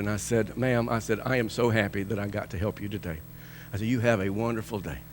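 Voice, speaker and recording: A man talks at a very fast pace in a fairly low voice with vocal fry. His tone is animated. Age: 60s. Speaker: pastor. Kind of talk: sermon. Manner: animated storytelling.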